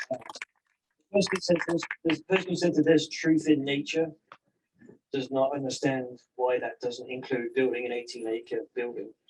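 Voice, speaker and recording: Someone with an English accent speaks at a moderate pace with ordinary pitch variation and long, frequent pauses. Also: man, fairly high pitch for a man. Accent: English accent, noticeable. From England. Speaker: resident giving public comment. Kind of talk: public comment at a community meeting.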